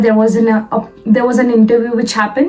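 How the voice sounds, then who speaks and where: Over noticeable background noise, a woman with an Indian accent talks in a fairly high pitch with fairly even intonation. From India, Lucknow, Uttar Pradesh. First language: Hindi. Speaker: vlogger, software developer. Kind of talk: personal vlog. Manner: hesitant, many fillers and repetitions.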